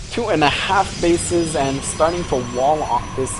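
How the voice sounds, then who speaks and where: Noticeable background noise sits under speech that proceeds fairly slowly. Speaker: esports caster. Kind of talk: live commentary. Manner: occasional stuttering.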